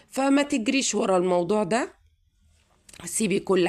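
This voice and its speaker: A woman speaks with an Egyptian accent. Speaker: YouTuber giving advice. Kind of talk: casual advice monologue to viewers.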